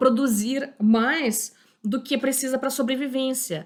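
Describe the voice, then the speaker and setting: In a very clean recording with a silent background, a woman speaks at a high pitch. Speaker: history teacher. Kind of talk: lecture. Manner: halting, many fillers.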